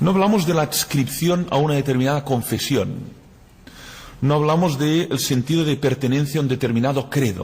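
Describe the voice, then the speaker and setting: At a moderate pace, a man talks in a somewhat breathy voice. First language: Catalan (speaking Spanish). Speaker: philosopher and lecturer. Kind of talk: lecture.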